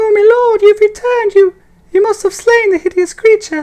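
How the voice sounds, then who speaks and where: A squeaky, put-on character voice talks at a moderate pace. Its pitch is extremely high. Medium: machinima. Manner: stammering, deferential.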